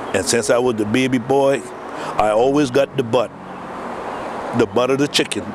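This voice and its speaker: Long, frequent pauses break up a man's medium-pitched speech, which has a dry sound with no echo against noticeable background noise. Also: fairly even intonation, moderate pace. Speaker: Gullah artist. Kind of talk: interview answer. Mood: warm, amused storytelling. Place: garden.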